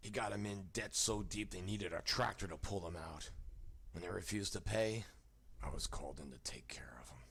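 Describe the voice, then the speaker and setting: In a raspy, put-on character voice, a man talks fairly quickly at a fairly low pitch, with lively intonation and big swings in loudness. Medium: video game. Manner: curt, tough, sneering.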